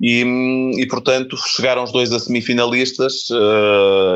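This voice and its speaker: An unremarkable speaking voice from a man, fairly slow in pace, with fairly even intonation. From Portugal, Porto. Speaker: filmmaker and author. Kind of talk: interview.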